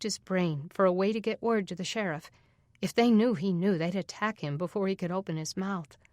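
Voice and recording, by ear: This is reading aloud in a natural voice. The speech has ordinary pitch variation.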